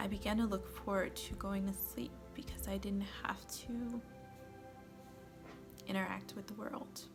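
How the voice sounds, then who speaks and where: With music in the background, the speaker goes at a fairly slow pace with long, frequent pauses. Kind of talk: personal testimony to camera.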